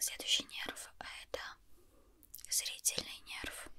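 A very slow whisper runs through the clip. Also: woman. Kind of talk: ASMR roleplay, soft-spoken instructions. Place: home room.

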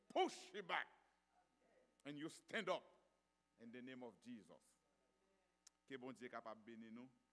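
Loudness swings widely as a man speaks at a fairly slow pace with ordinary pitch variation and long, frequent pauses. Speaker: church announcer. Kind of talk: announcements and exhortation. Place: church. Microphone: podium.

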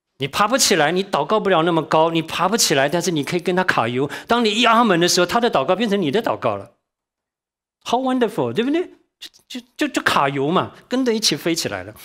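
Against a quiet background, a man talks at a very fast pace. His voice is high-pitched and swings very widely in pitch. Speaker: church teacher. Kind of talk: sermon-style Bible teaching. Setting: church class. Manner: fast talker. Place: hall.

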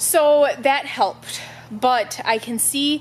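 Light background noise sits behind a woman as she speaks. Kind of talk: casual vlog chat. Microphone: phone near.

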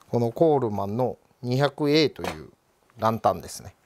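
A man speaks at a moderate pace with lively intonation. Light background noise can be heard. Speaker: vintage lantern repair shop owner. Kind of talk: interview answer. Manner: casual. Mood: relaxed, friendly explaining. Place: shop.

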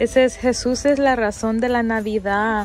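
Clear music plays in the background. Over a dry sound with no echo, a woman talks at a very slow pace. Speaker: shopping vlogger. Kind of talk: casual vlog chat. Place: shop. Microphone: phone near.

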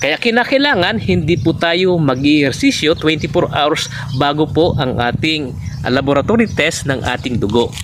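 The man's voice is fairly high-pitched, at a fairly slow pace. Noticeable background noise is present. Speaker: naturopath. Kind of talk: health talk to camera. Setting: outdoors under a gourd trellis. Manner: halting.

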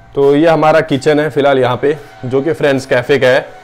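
Faint music plays in the background as a man talks in a flat, monotone way. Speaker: cafe owner vlogger. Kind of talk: casual vlog tour. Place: kitchen. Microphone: phone near.

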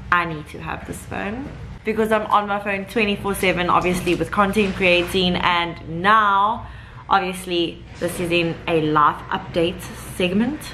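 A woman's fairly slow, fairly even delivery over light background noise. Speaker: vlogger. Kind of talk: casual vlog chat. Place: home room. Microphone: phone near.

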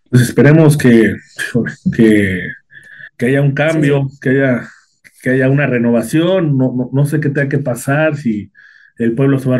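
In a dark, mellow tone, a man talks at a moderate pace with fairly even intonation. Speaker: interviewer. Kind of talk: interview. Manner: halting, with many repetitions.

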